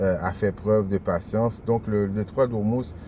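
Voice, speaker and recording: Spoken at a fairly slow pace, the delivery keeps a fairly even intonation. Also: man. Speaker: religious teacher. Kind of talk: sermon. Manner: halting.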